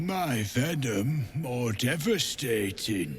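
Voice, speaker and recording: Clear background noise runs under a man's raspy, put-on character voice, pitched at a medium level and delivered at a very slow pace. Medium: video game.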